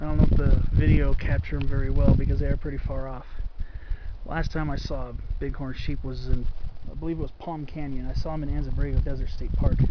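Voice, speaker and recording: Speech from a man rushes out at a very fast pace. The room echo is audible, and background noise is noticeable. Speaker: hiking vlogger. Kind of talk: solo outdoor vlog narration. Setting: outdoors on a mountain hike. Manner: speaking quietly.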